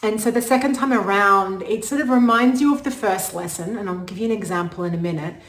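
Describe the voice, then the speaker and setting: Animated and fairly high-pitched, a woman talks at a very fast pace with hardly any pauses. Noticeable background noise and audible room echo are in the recording. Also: ordinary pitch variation. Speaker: astrologer. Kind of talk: casual talk to camera.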